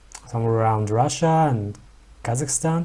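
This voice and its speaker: A man is speaking. He has a Mongolian accent. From Mongolia, Ulaanbaatar. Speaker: YouTuber. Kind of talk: reaction video commentary. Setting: at home. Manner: hesitant, many fillers.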